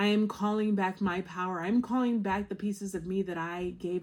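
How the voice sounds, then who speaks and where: A normal speaking voice comes through at a moderate pace. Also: woman. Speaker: tarot reader. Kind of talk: tarot reading monologue.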